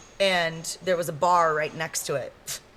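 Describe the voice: In an American accent, a woman speaks fairly slowly at a low pitch, her tone fairly bright and her intonation fairly even.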